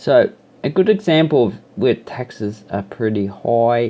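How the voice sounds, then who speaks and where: Speaking rather slowly, a man talks in an Australian accent. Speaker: YouTuber. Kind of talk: casual vlog monologue. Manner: rambling, with hesitations.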